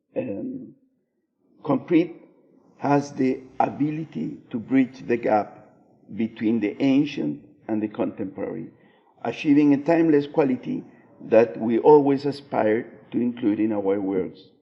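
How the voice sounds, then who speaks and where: A man with a Spanish accent, medium pitch, ordinary pitch variation, fairly slow pace, and long, frequent pauses. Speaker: architect. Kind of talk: conference presentation read aloud. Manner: halting, many fillers.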